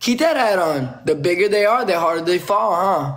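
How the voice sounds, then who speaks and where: Against a quiet background, a man speaks at a moderate pace in a high pitch. His tone is animated and his intonation lively. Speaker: live streamer. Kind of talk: trash-talk live stream battle. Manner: animated, taunting. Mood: confrontational, taunting. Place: home room. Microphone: phone near.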